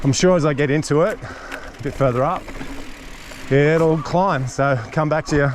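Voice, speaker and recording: Over noticeable background noise, a man speaks in an Australian accent at a moderate pace. His pitch is fairly high, with ordinary pitch variation. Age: 60s. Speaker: motorcycle and mountain bike vlogger. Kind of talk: casual vlog narration while riding. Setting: outdoors on a mountain bike trail. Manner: relaxed, conversational.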